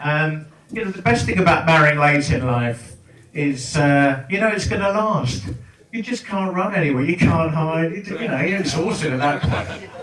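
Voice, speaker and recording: A speaker talks in an English accent. Audible room echo and noticeable background noise are present. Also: man, fairly high pitch for a man, moderate pace. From England. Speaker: comedian. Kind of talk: stand-up. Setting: stage with audience. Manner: animated.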